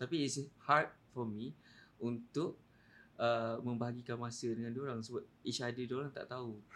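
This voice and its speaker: A man's plain, everyday voice at medium pitch and moderate pace, with fairly even intonation and big swings in loudness. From Malaysia, Kelantan. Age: 30s. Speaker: podcast guest. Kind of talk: casual chat.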